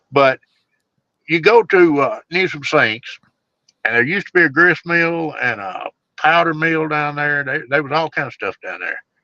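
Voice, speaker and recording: A man with a Southern US accent speaks at a fairly high pitch, with ordinary pitch variation. His tone is bright and sharp, and the sound is dry and close with no echo. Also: moderate pace. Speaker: bigfoot researcher. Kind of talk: storytelling in casual interview. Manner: casual, folksy.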